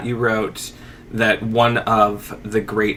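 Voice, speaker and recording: The pitch variation here is ordinary. It is a normal speaking voice. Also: man. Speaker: podcast host. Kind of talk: podcast host talk.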